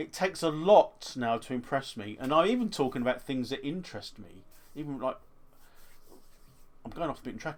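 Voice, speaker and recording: Intonation is lively in this man's speech. He keeps a fairly quick pace. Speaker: eBay reseller and YouTuber. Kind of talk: casual vlog monologue. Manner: halting, self-correcting.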